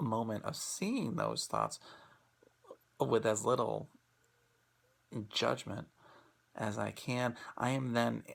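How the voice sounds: With vocal fry and big pitch swings, the speech comes at a slow pace, marked by long, frequent pauses. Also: man, medium pitch for a man.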